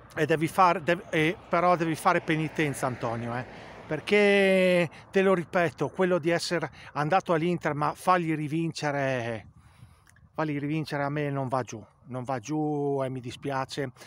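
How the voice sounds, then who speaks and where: The man speaks at a fairly high pitch with ordinary pitch variation. He keeps a moderate pace. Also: dry sound with no echo. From Italy. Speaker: football fan vlogger. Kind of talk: angry rant about the coach, heated opinion monologue to camera. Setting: home video to camera. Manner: loud, indignant, hammering the same words. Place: open country. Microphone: phone near.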